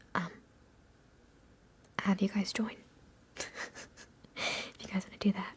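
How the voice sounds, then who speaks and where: Whispered words come at a fairly slow pace, broken by long, frequent pauses. The loudness swings widely. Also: woman. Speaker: ASMR content creator. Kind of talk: ASMR livestream, casual talk to viewers. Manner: soft-spoken, whispery.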